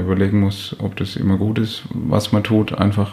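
Over noticeable background noise, a man speaks at a fairly low pitch in a monotone, flat delivery. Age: 30s. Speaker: physiotherapist and practice owner. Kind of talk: interview. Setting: office.

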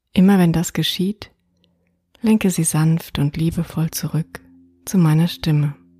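A woman's fairly low, somewhat breathy voice with a dark, mellow tone, a fairly slow pace and long, frequent pauses, in a dry, close sound with no echo. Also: fairly even intonation. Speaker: meditation guide. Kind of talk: guided meditation. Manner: slow, soothing, soft-spoken, calm.

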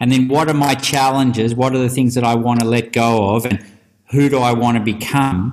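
This man has an ordinary speaking voice, medium in pitch, with ordinary pitch variation. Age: 50s. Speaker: rites-of-passage facilitator and author. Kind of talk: interview.

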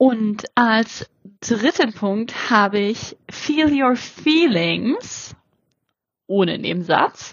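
With lively intonation, a woman speaks very slowly at a fairly high pitch. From Germany. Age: 30s. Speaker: podcast host. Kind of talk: solo podcast intro monologue. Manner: animated.

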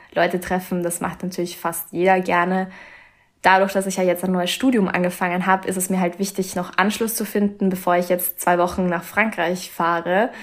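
Monotone, flat intonation marks a woman's moderately paced speech. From Austria, Vienna. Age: young. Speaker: author and medical student. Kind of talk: casual interview.

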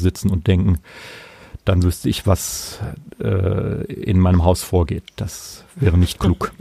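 Its tone is dark and mellow. There is some breathiness to it. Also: man. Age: 50s. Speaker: saxophonist and music school director. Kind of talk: interview.

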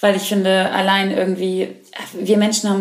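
This woman's delivery is fairly quick. Background noise is clearly audible behind her. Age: 20s. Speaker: podcast host, actor. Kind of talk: casual chat.

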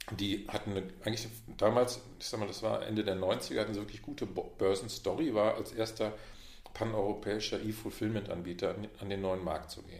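With audible room echo, a man speaks at a fairly quick pace in a fairly low pitch, his voice somewhat breathy and his intonation fairly even. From Westphalia, Münster. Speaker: management consultant. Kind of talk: casual interview. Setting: in-person meeting in Munich.

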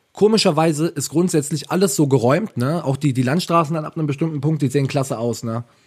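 Talking at a very fast pace, a man uses a fairly high, somewhat breathy voice with ordinary pitch variation. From Ravensburg, Swabia (southern Germany). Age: 20s. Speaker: podcast co-host. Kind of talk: casual chat.

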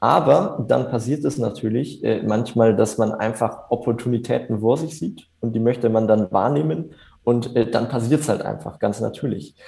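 Pausing hardly at all, a man talks at a medium pitch with a dark, mellow tone and vocal fry. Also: ordinary pitch variation, moderate pace. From Germany, Upper Franconia (near Bamberg). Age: 20s. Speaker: entrepreneur. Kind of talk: interview. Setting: video call. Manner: hesitant, many filler sounds. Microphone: reduced audio quality over video call.

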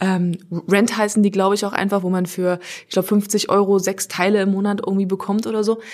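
A woman speaking very fast, flat and monotone, at a medium pitch. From Halle, eastern Germany. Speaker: radio presenter. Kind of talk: casual chat.

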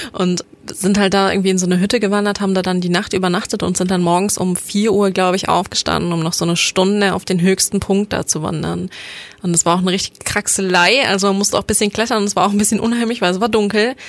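Through noticeable background noise, a woman talks very fast at a medium pitch, her intonation monotone and flat and her loudness very even. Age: 20s. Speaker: podcast co-host, university student. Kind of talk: casual chat. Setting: studio.

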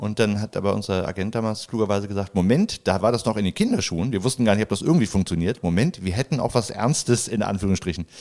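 Very fast speech with hardly any pauses and ordinary pitch variation, on a very clean recording with a silent background. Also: man, fairly low pitch for a man. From Hamburg, Germany. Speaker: a cappella comedy singer. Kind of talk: casual chat.

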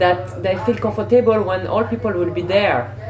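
With a French accent, a woman is heard through audible room echo and noticeable background noise. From Senegal. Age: 30s. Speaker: fitness presenter and choreographer. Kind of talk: interview. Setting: hotel lobby. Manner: halting.

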